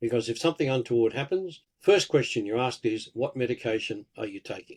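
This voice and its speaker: Talking at a fairly quick pace, a man with an Australian accent uses lively intonation. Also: medium pitch for a man. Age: 70s. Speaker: pharmacist and herbalist. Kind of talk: interview.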